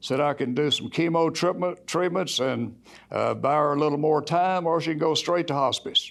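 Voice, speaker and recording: In an ordinary speaking voice, a man talks at a moderate pace with fairly even intonation and very even loudness. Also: fairly high pitch for a man. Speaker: Alcoholics Anonymous group leader. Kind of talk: personal testimony to church congregation.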